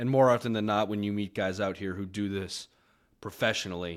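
The recording is very clean, with a silent background. A man with an American accent talks fairly quickly at a fairly low pitch. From Massachusetts, south of Boston near Cape Cod. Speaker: sports betting show producer. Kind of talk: casual interview chat. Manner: laid-back.

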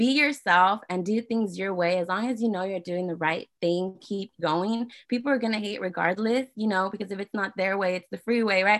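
In an ordinary speaking voice, a woman of medium pitch talks at a moderate pace with hardly any pauses and ordinary pitch variation. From California, San Jose area (born in Guadalajara, Mexico). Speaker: activist and entrepreneur. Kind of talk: interview.

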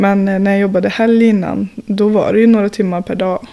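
A woman's dark, mellow tone at medium pitch, moderate pace and monotone, flat intonation. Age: 20s. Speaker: industrial worker and climber. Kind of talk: casual chat.

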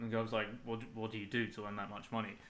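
The man speaks at a medium pitch in a bright, sharp tone. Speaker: host's partner, co-host. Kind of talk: casual chat.

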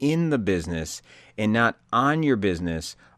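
The voice is a natural reading voice.

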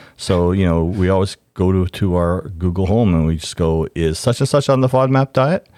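Hardly pausing at all, a man with a very deep, low pitch and a dark, mellow tone speaks at a moderate pace with lively intonation. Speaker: host's parent. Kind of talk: casual chat.

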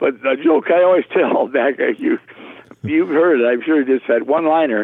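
At a moderate pace, a man with a Minnesota accent speaks in a fairly high pitch with ordinary pitch variation. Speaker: retired public address announcer and banquet emcee. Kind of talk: casual interview. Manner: animated.

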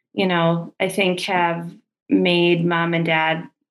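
A woman with an American accent, fairly low in pitch, at a very slow pace. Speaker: guest, sibling. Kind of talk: casual interview chat.

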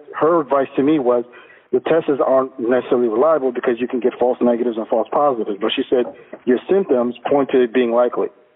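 A man speaks at a very fast pace in a medium-pitched voice with fairly even intonation, over noticeable background noise. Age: 30s. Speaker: radio caller. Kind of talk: call-in discussion. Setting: phone call.

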